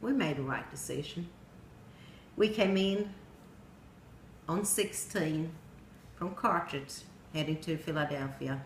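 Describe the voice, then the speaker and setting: Somewhat breathy, with a Swedish accent and ordinary pitch variation, the voice moves at a fairly slow pace with long, frequent pauses. Room echo is audible. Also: woman. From Sweden. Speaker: storyteller. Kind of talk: personal narrative speech.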